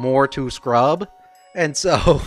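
A man's voice in a dry sound with no echo, with faint music in the background. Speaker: game streamer. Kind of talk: casual gameplay commentary. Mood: amused, joking. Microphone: studio mic.

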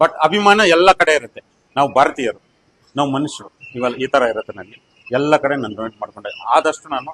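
With lively intonation, a man talks at a fairly high pitch in a dry, close sound with no echo. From India, Kolar district, Karnataka. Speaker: technician and school donor. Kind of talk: interview testimony. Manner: halting.

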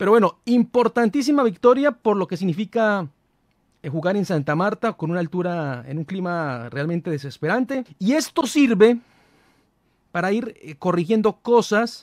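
A man's high voice with very wide pitch swings at a fairly slow pace, dry with no echo, over a quiet background. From Colombia. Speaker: football commentator, fan channel host; football commentator youtuber. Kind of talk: casual match analysis monologue. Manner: hesitant, many fillers. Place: studio. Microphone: studio mic.

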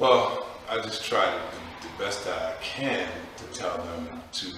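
Strong room echo fills the clip, with light background noise underneath. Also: man. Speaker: interview guest, basketball trainer. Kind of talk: interview answer. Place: studio.

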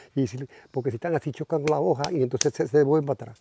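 A man's dark, mellow tone at a fairly high pitch, with ordinary pitch variation. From Dominican Republic, Puerto Plata. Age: old. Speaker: beekeeper and farmer. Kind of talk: casual chat.

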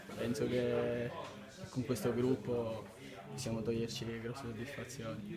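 Loud background noise surrounds a man who talks at a fairly slow pace with long, frequent pauses. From Sicily. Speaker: footballer. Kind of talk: post-match interview answer. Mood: calm, satisfied after win. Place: hall. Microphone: handheld.

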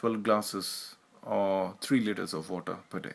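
Over a quiet background, the speaker talks at a moderate pace with an Indian accent. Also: man. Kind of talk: health tips explainer narration.

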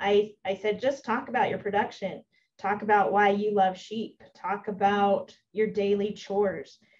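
A woman with a plain, everyday voice, medium in pitch, at a fairly slow pace with fairly even intonation. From Utah, Millard County. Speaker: extension educator. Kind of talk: presentation.

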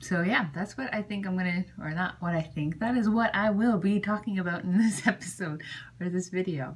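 A woman's fairly low, somewhat breathy voice at a moderate pace. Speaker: pregnancy vlogger. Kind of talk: casual vlog chat. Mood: cheerful, chatty. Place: home room.

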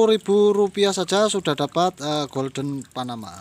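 A man's lively intonation at a fairly slow pace. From Indonesia. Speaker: plant seller. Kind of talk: sales pitch. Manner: repetitive promo phrases like 'murah sekali' with filler hesitations. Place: garden. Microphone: phone near.

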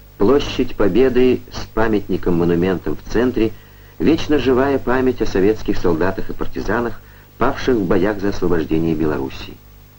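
A man's fairly low voice in a solemn tone, lively in intonation, at a moderate pace, over noticeable background noise. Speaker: film narrator. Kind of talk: scripted documentary narration. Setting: vintage film voice-over. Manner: formal, measured, declamatory Soviet-era newsreel delivery; steady, even-paced and solemn, with proud official tone.

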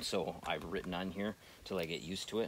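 A man's very deep, low pitch at a fairly quick pace, fairly even intonation, dry sound with no echo, and light background noise. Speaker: hunter demonstrating gear. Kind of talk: tutorial. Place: forest.

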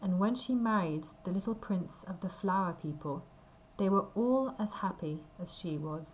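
The voice reads in a natural way.

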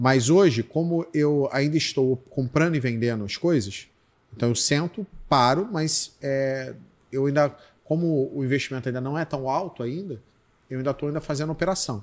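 A man's fairly high voice at a moderate pace, with ordinary pitch variation and an ordinary speaking voice. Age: 40s. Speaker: podcast host for supermarket owners; podcast guest. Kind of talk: casual chat. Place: studio. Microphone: studio mic.

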